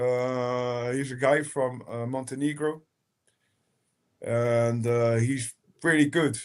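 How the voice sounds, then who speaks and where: A man with a fairly high-pitched voice speaks in a Rotterdam accent. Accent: Rotterdam Dutch. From Netherlands, Rotterdam. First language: Dutch. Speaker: techno DJ and producer. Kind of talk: casual chat. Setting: live stream.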